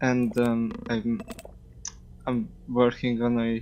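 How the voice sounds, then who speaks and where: With a Hungarian accent, a man speaks at a medium pitch in a monotone, flat intonation. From Hungary. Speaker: game mod developer. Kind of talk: casual chat. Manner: halting.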